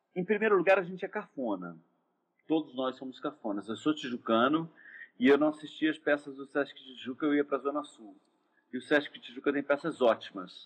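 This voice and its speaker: A man's normal speaking voice, fairly high in pitch, with lively intonation, big swings in loudness, and a fairly quick pace. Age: 50s. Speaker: actor and theatre director. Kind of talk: casual interview chat. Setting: Instagram live video call.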